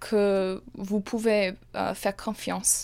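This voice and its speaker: A woman speaks with an English accent on a very clean recording with a silent background. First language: English (speaking French). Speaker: university student. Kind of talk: interview. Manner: halting.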